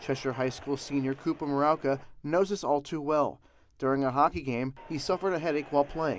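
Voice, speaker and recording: A man with an unremarkable speaking voice, fairly high in pitch, with ordinary pitch variation, on a very clean recording with a silent background. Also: fairly quick pace. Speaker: news reporter and anchor. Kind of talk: TV news anchor and reporter delivery.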